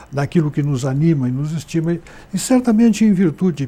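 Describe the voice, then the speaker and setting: In a southern Brazilian accent, a man speaks at a moderate pace with lively intonation. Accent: gaúcho Brazilian Portuguese. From southern Brazil, Rio Grande do Sul frontier (Santana do Livramento). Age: 70s. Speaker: journalist and writer. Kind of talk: interview.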